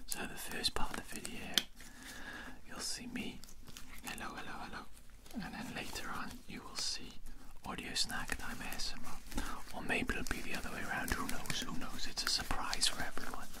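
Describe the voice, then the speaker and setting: Soft-spoken and pausing long and often, a man talks at a moderate pace over loud background noise. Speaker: ASMR creator. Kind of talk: soft-spoken ASMR vlog chat. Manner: soft, close-mic ASMR speech. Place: home room. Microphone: studio mic.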